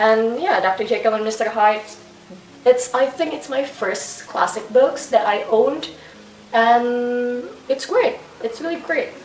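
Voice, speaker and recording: A woman with a high pitch speaks at a fairly slow pace, with ordinary pitch variation. Audible room echo and noticeable background noise fill the recording. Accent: non-native. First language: not English. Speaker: booktuber. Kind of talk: casual book review vlog. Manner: halting.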